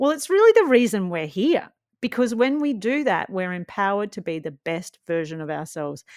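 Recorded very cleanly with a silent background, a woman with an Australian accent speaks at a moderate pace and medium pitch with very wide pitch swings. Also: big swings in loudness. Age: 40s. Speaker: TV and radio presenter. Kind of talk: podcast hosting.

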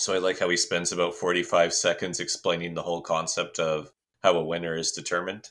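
A man with a Canadian accent talks at a very fast pace. The recording is very clean, with a silent background. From Canada. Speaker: podcast co-host. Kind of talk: casual chat.

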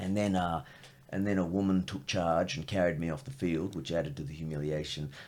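Speaking at a fairly quick pace with an Australian accent, a man uses a very deep, low pitch with ordinary pitch variation. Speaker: comedian. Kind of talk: casual chat.

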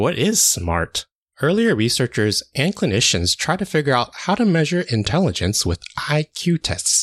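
A man with a fairly high pitch and vocal fry speaks at a moderate pace, his pitch swinging very widely while his loudness stays very even, in a dry, close recording with no echo and a quiet background. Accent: American. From United States, Chinese American family. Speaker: occupational therapist podcast host. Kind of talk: scripted monologue.

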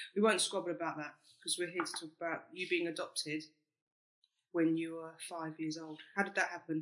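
A man with a South London accent talks at a fairly quick pace. His pitch is high, and his intonation stays monotone and flat. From South East London, England. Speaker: podcast host. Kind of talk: casual chat.

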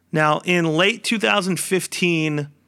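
A man with a bright, sharp tone and fairly high pitch speaks with fairly even intonation on a very clean recording against a silent background. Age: 30s. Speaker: basketball podcast host. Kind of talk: solo monologue podcast. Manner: casual with frequent fillers.

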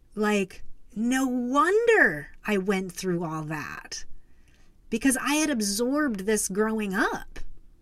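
Audible room echo surrounds a woman who speaks very slowly at a fairly high pitch with lively intonation. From US Southwest, Arizona. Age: 40s. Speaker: podcast host. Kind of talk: personal storytelling. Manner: hesitant with fillers.

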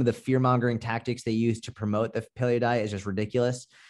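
A man in an American accent, with an ordinary speaking voice, medium pitch and a fairly quick pace, against a quiet background. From Boston, US. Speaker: personal trainer and online fitness coach. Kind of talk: casual interview. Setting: video call.

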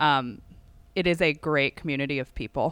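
A woman with an American accent, an ordinary speaking voice, at a moderate pace in a very clean recording against a silent background. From Northern Virginia. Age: 30s. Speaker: amateur golfer. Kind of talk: interview.

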